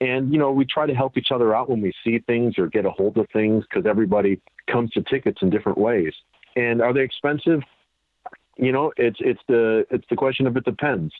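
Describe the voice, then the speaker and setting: A man with an American accent and an unremarkable speaking voice talks at a fairly quick pace. His medium pitch varies in an ordinary way, and his loudness stays very even. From Chicago suburbs, Illinois. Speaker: sports memorabilia collector. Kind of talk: interview.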